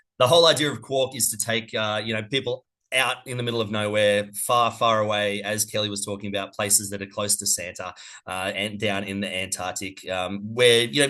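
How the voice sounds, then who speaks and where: Speaking at a fairly quick pace, a man with an Australian accent has a fairly low pitch and fairly even intonation. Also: quiet background. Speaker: cruise company representative. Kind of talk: webinar presentation. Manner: fast.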